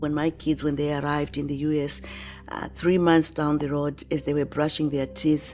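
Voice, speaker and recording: A woman speaks at a moderate pace in a very deep, low voice. Her intonation is flat and monotone, with noticeable background noise. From Zimbabwe. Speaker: motivational speaker. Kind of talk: testimony.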